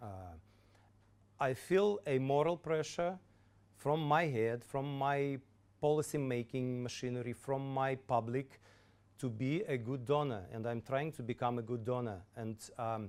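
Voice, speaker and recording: With a Russian accent, a man speaks at a fairly slow pace in a medium pitch with ordinary pitch variation, leaving long, frequent pauses. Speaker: government official. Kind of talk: lecture Q&A answers. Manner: halting, many repetitions.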